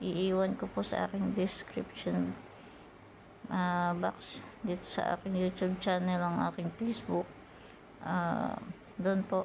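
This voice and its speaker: The woman is soft-spoken and keeps to a fairly slow pace. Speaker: YouTuber teaching earning apps. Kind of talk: tutorial.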